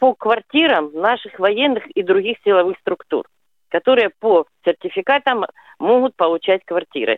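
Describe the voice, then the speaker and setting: A woman's pitch swings very widely in a dry, close recording with no echo. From Rostov-on-Don, Russia. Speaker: caller. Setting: phone call.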